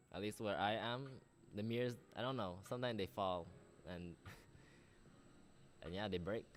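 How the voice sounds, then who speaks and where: Using a Belizean accent, a man talks at a fairly quick pace with long, frequent pauses, a fairly low pitch and ordinary pitch variation. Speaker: medical student and youtuber. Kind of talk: casual livestream chat. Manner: animated.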